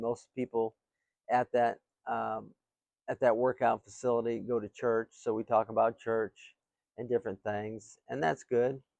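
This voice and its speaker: At a moderate pace, a man with a medium pitch talks in monotone, flat intonation with a dry, close sound with no echo. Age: 60s. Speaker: real estate company owner. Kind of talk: casual talk to camera.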